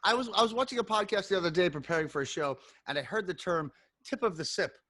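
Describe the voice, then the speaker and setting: Energetic and animated, a man with a high pitch and a bright, sharp tone speaks in a raised, projected voice at a very fast pace, with lively intonation. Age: 40s. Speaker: podcast host. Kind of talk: casual chat. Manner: energetic, animated.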